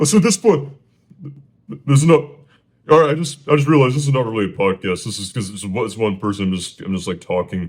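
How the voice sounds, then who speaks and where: Very wide pitch swings mark a man's very fast speech at a medium pitch. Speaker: solo podcaster. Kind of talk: casual storytelling monologue. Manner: stuttering, many fillers; halting, repetitive.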